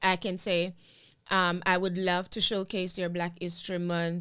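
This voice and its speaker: In a very clean recording with a silent background, a woman speaks at a fairly slow pace in a medium pitch. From Jamaica. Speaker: content creator and former teacher. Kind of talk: interview chat.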